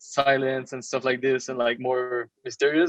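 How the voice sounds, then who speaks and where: The man's medium-pitched voice stays flat and monotone, with a dry, close sound and no echo. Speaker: digital artist. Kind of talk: podcast interview. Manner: halting, repeats words.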